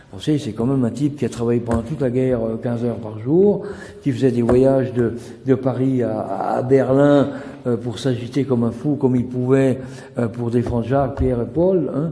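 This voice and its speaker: A medium-pitched man talks at a moderate pace with fairly even intonation, with audible room echo and noticeable background noise. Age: 70s. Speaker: author. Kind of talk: interview. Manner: hesitant, many fillers.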